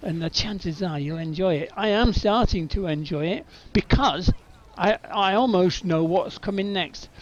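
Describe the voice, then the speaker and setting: The man's voice is high. His pace is moderate. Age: 60s. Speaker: gaming video creator. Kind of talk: gameplay commentary. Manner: halting.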